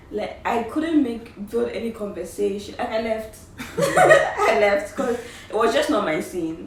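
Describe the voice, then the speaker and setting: Noticeable background noise and audible room echo surround a woman who speaks at a fairly high pitch and a fairly slow pace with ordinary pitch variation. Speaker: YouTuber, university student. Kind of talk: casual chat.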